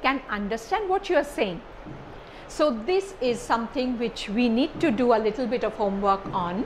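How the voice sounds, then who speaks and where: Light background noise sits behind a woman's voice. Her pitch is high and swings very widely. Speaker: lecturer. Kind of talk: lecture. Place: classroom. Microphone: lapel.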